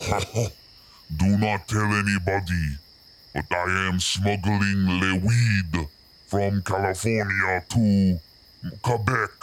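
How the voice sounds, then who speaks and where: Using a put-on character voice, a man speaks with a fairly low pitch at a very slow pace. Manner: jokey, playful.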